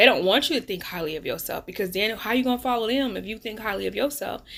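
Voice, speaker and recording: In a very clean recording with a silent background, a woman talks at a very fast pace. Her voice is fairly high, bright and sharp in tone, animated, with ordinary pitch variation. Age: 40s. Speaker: life coach. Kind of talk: casual vlog monologue.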